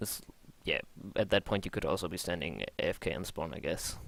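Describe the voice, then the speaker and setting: A man with a German accent, fairly low pitch and fairly even intonation. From Germany. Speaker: video game coach. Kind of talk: replay review commentary. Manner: hesitant, many fillers.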